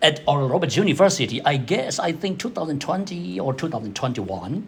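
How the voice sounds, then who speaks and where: A man with a Burmese accent speaks at a very fast pace, somewhat breathy. His pitch swings very widely. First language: Zomi. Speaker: theology scholar presenting a paper. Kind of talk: academic paper presentation. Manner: halting, with repetitions and self-corrections.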